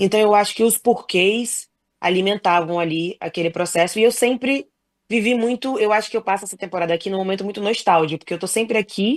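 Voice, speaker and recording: A woman speaks in an unremarkable speaking voice at a medium pitch, fairly quickly, with ordinary pitch variation and big swings in loudness. The sound is dry and close with no echo, over a quiet background. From Brazil. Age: 30s. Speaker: professional basketball player. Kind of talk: casual chat. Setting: podcast interview.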